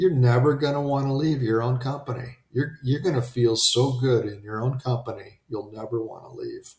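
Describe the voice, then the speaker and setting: With ordinary pitch variation, a man talks in a somewhat breathy way. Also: hardly any pauses. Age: 60s. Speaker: self-help podcast host. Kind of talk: live-streamed motivational monologue. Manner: animated; casual, with filler words.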